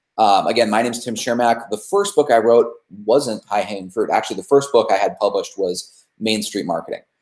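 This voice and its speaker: Pitch varies in an ordinary way. The speech moves at a fairly quick pace. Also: man, medium pitch for a man. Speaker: marketing consultant and author. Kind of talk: webinar presentation. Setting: online webinar. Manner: fast.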